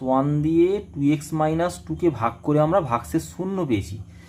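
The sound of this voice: A man speaks fast in a fairly high pitch, his tone slightly mellow. His pitch moves with ordinary variation.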